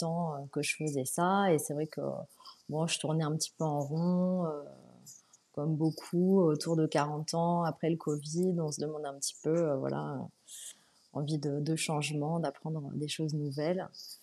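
Delivered at a fairly slow pace, this woman's voice is very deep and low, with a dark, mellow tone and monotone, flat intonation. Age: 40s. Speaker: furniture restorer, former podiatrist. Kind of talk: interview. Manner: hesitant, many fillers.

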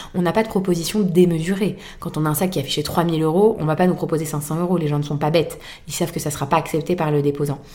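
Speaking very fast, a woman uses a fairly low pitch and a dark, mellow tone, with fairly even intonation. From France, Boulogne. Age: 30s. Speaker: fashion resale entrepreneur. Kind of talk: interview.

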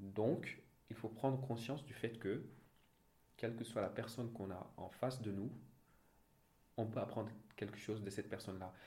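A man's medium-pitched, somewhat breathy voice at a moderate pace, fairly even in intonation, with long, frequent pauses and audible room echo. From Senegal (Thiès). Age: 30s. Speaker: audit and finance manager. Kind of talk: interview. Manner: halting, many repetitions and fillers.

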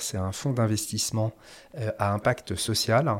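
A man talks at a very slow pace on a very clean recording with a silent background. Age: 40s. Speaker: former audit firm executive turned café owner. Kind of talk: interview conversation. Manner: halting, many hesitations and repeated words.

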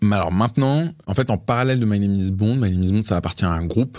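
This man's voice sits fairly low with ordinary pitch variation. He speaks at a fairly quick pace. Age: 20s. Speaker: entrepreneur. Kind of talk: interview. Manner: hesitant, many fillers.

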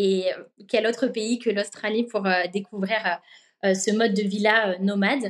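Fairly slow and with fairly even intonation, an ordinary speaking voice carries on. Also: woman. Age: 20s. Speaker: working holiday traveller. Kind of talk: interview testimony.

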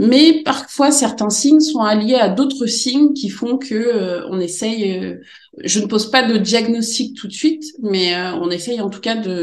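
Lively intonation comes at a fairly slow pace, with audible room echo. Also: woman. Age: 40s. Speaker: special education teacher. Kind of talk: interview. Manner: halting.

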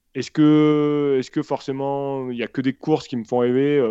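Speaking at a fairly slow pace, a man has a dark, mellow tone against a quiet background. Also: dry, close sound with no echo. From France, south (grew up in Senegal until about 10). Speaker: trail runner and video filmmaker. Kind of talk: interview. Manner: hesitant, many repetitions.

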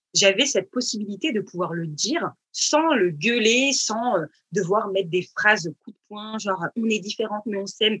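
A woman with a plain, everyday voice speaks at a fairly high pitch and moderate pace with lively intonation, the sound dry and close with no echo. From Paris region, France. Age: 30s. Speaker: fashion designer, brand founder. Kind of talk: casual interview. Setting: remote online recording.

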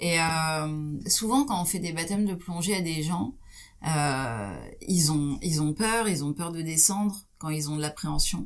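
Speech unfolds at a very slow pace. Its pitch varies in an ordinary way. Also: woman, fairly low pitch for a woman. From France, Champagne (Troyes). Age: 40s. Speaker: ocean explorer and expedition leader. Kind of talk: interview.

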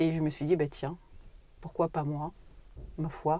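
A woman speaks with a very deep, low pitch and a dark, mellow tone. Her pace is moderate. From Paris suburbs, France. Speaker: oncologist. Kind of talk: interview.

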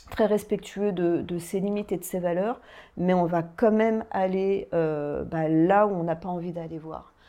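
In a plain, everyday voice, a woman talks at a fairly slow pace with a fairly low pitch. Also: fairly even intonation. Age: 40s. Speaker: life coach and hypnotherapist. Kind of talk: guided hypnosis; interview chat.

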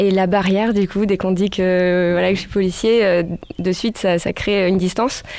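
A woman is speaking at a medium pitch. Noticeable background noise runs behind her. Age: 30s. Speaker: police officer and backpack traveller. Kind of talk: interview.

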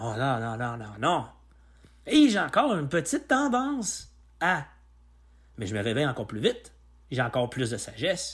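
A man with a Quebec accent speaks with big swings in loudness and long, frequent pauses. The recording is very clean with a silent background. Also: moderate pace. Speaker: personal development podcaster. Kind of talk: solo podcast monologue. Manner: halting.

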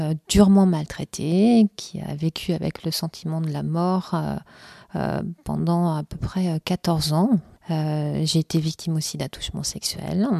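A woman's fairly low, dark and mellow voice, very slow and fairly even in intonation, with a dry, close sound, no echo, in a very clean recording with a silent background. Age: 40s. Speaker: interviewee, abuse and cancer survivor. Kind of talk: testimony. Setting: her home.

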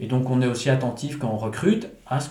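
A man speaks at a medium pitch in a dark, mellow, somewhat breathy tone. His pace is moderate, and audible room echo surrounds him. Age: 40s. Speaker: entrepreneur and engineer. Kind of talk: interview. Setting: manor house. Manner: halting.

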